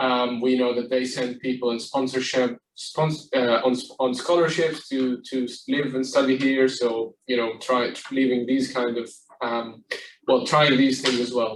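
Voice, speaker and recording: At a fairly slow pace, a man with an Arabic accent talks at a medium pitch in a monotone, flat intonation. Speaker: property company executive. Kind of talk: panel discussion. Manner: hesitant, many fillers.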